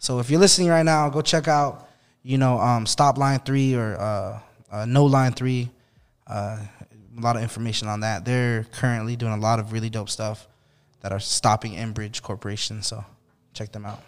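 This man has an American accent and an ordinary speaking voice, medium in pitch with ordinary variation. He speaks at a moderate pace on a very clean recording with a silent background. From Navajo reservation, Chinle, Arizona. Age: 30s. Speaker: hip hop artist. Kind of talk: casual chat.

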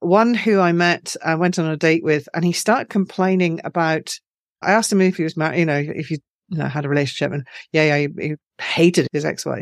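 A woman with an Edinburgh accent talks at a fairly quick pace and a fairly low pitch, with ordinary pitch variation. The sound is dry and close, with no echo. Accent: Scottish (Edinburgh). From Scotland, Edinburgh. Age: 50s. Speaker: author. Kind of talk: interview.

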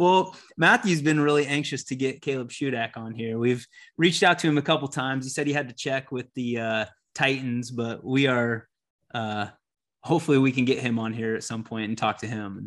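Here a man with an American accent uses a normal speaking voice at a medium pitch and fairly quick pace. His pitch variation is ordinary, and the background is quiet. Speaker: podcast co-host. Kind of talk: casual interview chat.

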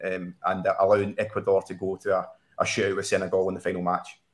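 In a very clean recording with a silent background, a man speaks with a Scottish accent. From Scotland. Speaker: soccer betting analyst. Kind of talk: sports betting discussion show.

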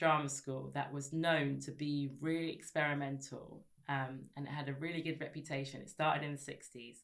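A woman speaks with a southern English accent. Her pace is moderate. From Sussex, southern England. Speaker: broadcaster and writer. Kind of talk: casual interview chat.

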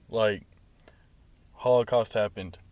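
A man's medium-pitched voice on a very clean recording with a silent background. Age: young. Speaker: college student guest. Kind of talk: casual chat. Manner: laughs often.

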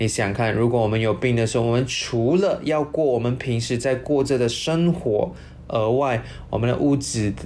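With music in the background, a man of medium pitch talks at a moderate pace, with ordinary pitch variation and very even loudness. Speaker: financial planner hosting an insurance segment. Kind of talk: casual educational talk.

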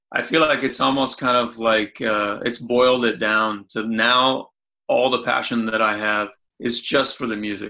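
A man's medium-pitched voice with a bright, sharp tone, fairly even intonation and a moderate pace. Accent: American. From US Midwest, Anderson, Indiana. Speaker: pianist. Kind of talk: casual chat.

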